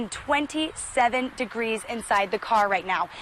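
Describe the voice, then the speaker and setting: At a fairly slow pace and a fairly high pitch, a woman speaks against noticeable background noise. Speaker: television news reporter. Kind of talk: TV news reporter narration.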